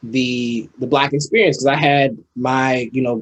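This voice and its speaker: In a plain, everyday voice, a man with an American accent speaks at a moderate pace and medium pitch, his intonation fairly even. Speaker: artist. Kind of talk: podcast interview.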